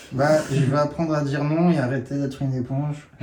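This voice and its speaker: This man speaks at a fairly quick pace. Noticeable background noise is present throughout. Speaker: workshop participant. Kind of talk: sharing circle. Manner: halting.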